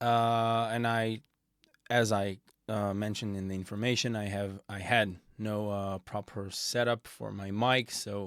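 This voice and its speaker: Speaking at a fairly slow pace, a man uses a fairly low pitch and fairly even intonation in a very clean recording with a silent background. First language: not English. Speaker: music production tutor. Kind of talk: tutorial. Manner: halting, many fillers.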